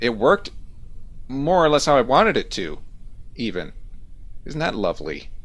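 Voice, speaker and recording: A man speaks at a moderate pace with vocal fry and very wide pitch swings. He leaves long, frequent pauses. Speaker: video game streamer. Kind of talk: live gameplay commentary. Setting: live stream. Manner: varies between loud and quiet. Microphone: too close to the mic, peaking.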